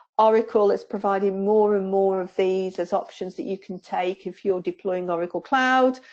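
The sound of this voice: A woman with a Staffordshire accent speaks at a moderate pace and medium pitch, with fairly even intonation and a slightly mellow tone.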